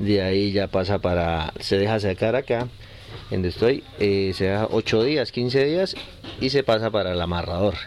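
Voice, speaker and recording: Fairly low-pitched male speech at a fairly slow pace, ordinary pitch variation, noticeable background noise. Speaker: cigar factory owner. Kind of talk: interview.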